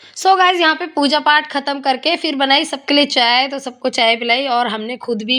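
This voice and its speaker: A woman speaks in a raised, projected voice at a high pitch and a fairly slow pace. Noticeable background noise runs behind her. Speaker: family vlogger. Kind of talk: vlog narration. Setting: at home. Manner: muffled.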